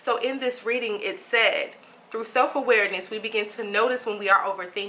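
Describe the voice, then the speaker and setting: Speaking at a fairly quick pace, a woman uses fairly even intonation and a fairly high pitch. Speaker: meditation guide and life coach. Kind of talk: casual book reading and reflection to camera. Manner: gentle, soft-spoken.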